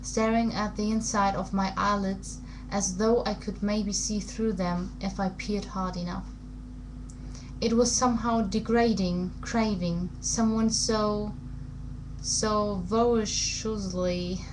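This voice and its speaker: A woman speaks at a very slow pace and medium pitch, her intonation monotone and flat. Noticeable background noise sits behind her. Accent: non-native. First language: not English. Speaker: amateur book reader. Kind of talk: audiobook-style reading of a novel excerpt.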